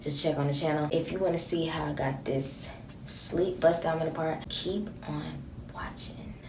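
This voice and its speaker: Through noticeable background noise and audible room echo, a woman speaks at a very deep, low pitch with fairly even intonation. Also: moderate pace. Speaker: beauty vlogger. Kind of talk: casual tutorial vlog.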